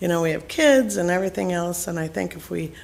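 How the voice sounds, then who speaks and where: A woman talks at a fairly quick pace in a fairly low pitch. She has a plain, everyday voice. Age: 60s. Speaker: resident addressing council. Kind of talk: public comment. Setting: council chamber.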